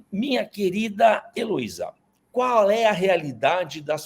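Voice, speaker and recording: A man speaks very slowly in a high voice. His pitch swings very widely. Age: 60s. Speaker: interview host. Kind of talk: interview. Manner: casual.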